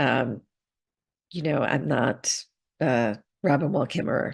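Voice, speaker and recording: Against a quiet background, a woman speaks with lively intonation and vocal fry. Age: 60s. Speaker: positive psychologist and author. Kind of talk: interview conversation.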